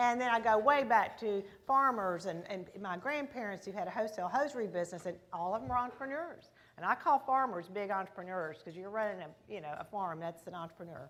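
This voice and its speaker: A woman with a Texas accent talks at a very fast pace and a medium pitch, with lively intonation. Her loudness swings widely, and there is audible room echo. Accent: Texas accent, full strength. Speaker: business founder, keynote speaker. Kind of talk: keynote speech. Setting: stage at luncheon with audience. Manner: warm, conversational.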